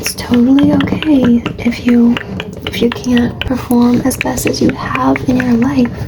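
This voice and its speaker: Someone soft-spoken is whispering amid noticeable background noise. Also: woman. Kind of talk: ASMR soft-spoken affirmations and life advice. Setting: low-quality mic recording. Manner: soft-spoken, whispery, relaxing.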